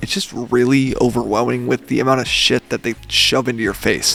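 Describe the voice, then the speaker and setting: A man is speaking, with noticeable background noise behind him. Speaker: YouTuber. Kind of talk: casual vlog commentary.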